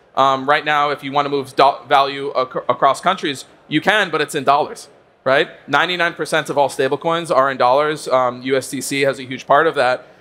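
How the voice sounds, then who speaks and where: A man with an American accent speaks at a fairly quick pace in a fairly high pitch, his tone bright and sharp and his intonation fairly even. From United States. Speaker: crypto trading executive. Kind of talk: conference panel discussion.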